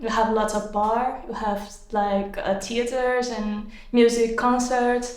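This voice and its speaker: Speaking at a very slow pace with a Portuguese accent, a woman has a fairly high pitch and monotone, flat intonation, with noticeable background noise and audible room echo. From Brazil. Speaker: exam candidate. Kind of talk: speaking exam. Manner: halting.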